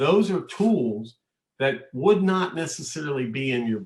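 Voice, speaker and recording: Somewhat breathy, a man at medium pitch speaks at a moderate pace with very wide pitch swings. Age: 60s. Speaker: manufacturing consultant and executive. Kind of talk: podcast interview.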